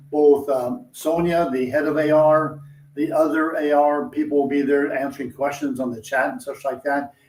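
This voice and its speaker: With noticeable background noise, a man with a fairly high pitch speaks at a moderate pace and with fairly even intonation. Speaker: industry analyst. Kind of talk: interview discussion.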